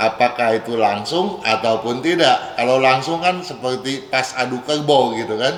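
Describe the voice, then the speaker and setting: Over noticeable background noise, a man talks at a moderate pace with hardly any pauses, using a medium pitch and ordinary pitch variation. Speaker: feng shui consultant. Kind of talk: radio advice Q&A. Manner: casual, conversational.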